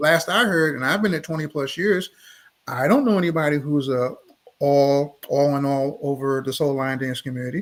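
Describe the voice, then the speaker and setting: With an American accent, a man uses a plain, everyday voice at a fairly high pitch, moving at a moderate pace with ordinary pitch variation. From Baltimore, Maryland. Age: 60s. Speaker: dance instructor. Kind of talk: live interview. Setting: livestream.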